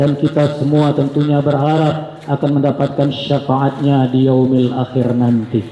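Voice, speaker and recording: Amid noticeable background noise and audible room echo, a man with a fairly high pitch talks at a fairly slow pace in a fairly even intonation. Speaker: Islamic preacher. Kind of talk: sermon. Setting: mosque. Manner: soft-spoken; formal.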